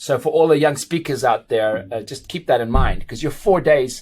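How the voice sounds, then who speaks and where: Somewhat breathy, a man speaks at a moderate pace. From South Africa and Portugal. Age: 40s. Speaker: dentist and international speaker. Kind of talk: podcast interview.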